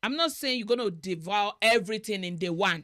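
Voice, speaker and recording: In a Nigerian accent, a woman talks at a moderate pace with a medium pitch and lively intonation, the sound dry and close with no echo. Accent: Nigerian (Yoruba) English. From Nigeria (Yoruba-speaking). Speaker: marriage talk show host. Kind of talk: interview conversation.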